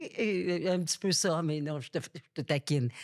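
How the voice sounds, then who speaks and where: A woman's very deep, low voice shows ordinary pitch variation. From Quebec, Laurentians. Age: 70s. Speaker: journalist and author. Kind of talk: interview testimony. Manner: animated.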